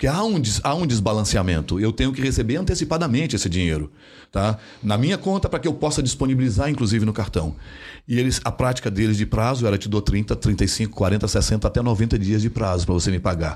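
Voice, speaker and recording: A man's medium-pitched, an ordinary speaking voice with lively intonation and very even loudness, fairly quick in pace, on a very clean recording with a silent background. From Brazil, interior of Mato Grosso. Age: 50s. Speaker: payments company executive. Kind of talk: interview conversation.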